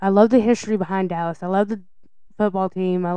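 A woman's medium-pitched voice has a dark, mellow tone. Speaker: podcast co-host.

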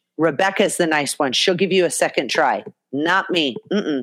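With an American accent, a woman of fairly low pitch speaks at a moderate pace in an animated tone, with ordinary pitch variation. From US West Coast. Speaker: podcast co-host and adult content creator. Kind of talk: casual chat. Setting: video call.

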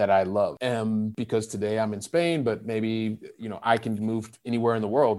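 The voice belongs to a man with a medium pitch. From US Midwest (Ohio). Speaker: real estate investor and sales professional. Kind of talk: podcast interview.

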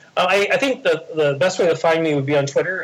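The man's voice is somewhat breathy. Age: 40s. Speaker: parenting blog founder. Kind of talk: interview. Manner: halting, many fillers and repeats.

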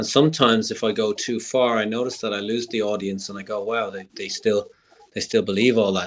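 Speaking at a fairly quick pace, a man with an Irish accent has a medium pitch. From Ireland. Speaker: comedian. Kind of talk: interview. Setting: remote call.

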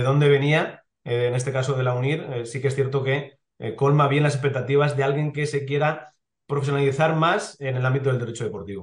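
Through audible room echo, a man with a medium pitch speaks in a somewhat breathy voice with fairly even intonation. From Spain, Elche (Valencian region). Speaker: sports lawyer, club legal director. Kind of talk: interview. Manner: hesitant, with many fillers.

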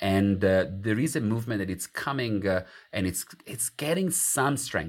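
A man with an Italian accent and a fairly low voice speaks at a moderate pace with ordinary pitch variation, in a very clean recording with a silent background. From Italy. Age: 40s. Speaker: academic author. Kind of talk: interview.

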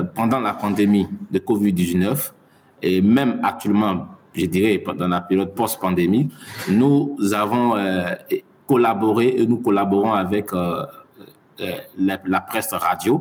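Over noticeable background noise, a man talks very slowly at a fairly low pitch, with ordinary pitch variation and long, frequent pauses. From Mali. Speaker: science journalist. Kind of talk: interview. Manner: halting.

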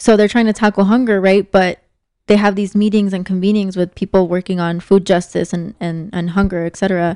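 A woman's dark, mellow voice in an American accent, monotone and fairly quick, with a dry, close sound and no echo. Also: medium pitch for a woman. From Mexico (Sinaloa) then Southern Arizona. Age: 20s. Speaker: human rights nonprofit worker. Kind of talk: casual interview.

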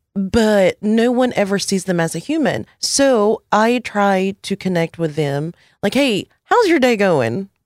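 Recorded with a dry, close sound with no echo, the speech keeps a very even loudness and a fairly slow pace. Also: woman, medium pitch for a woman. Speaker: podcast guest. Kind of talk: casual chat.

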